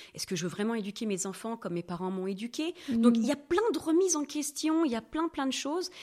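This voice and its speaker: Her pitch fairly high and swinging very widely, a woman speaks at a fairly quick pace on a very clean recording with a silent background. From France, Normandy. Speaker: sexologist. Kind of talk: podcast interview. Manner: lively.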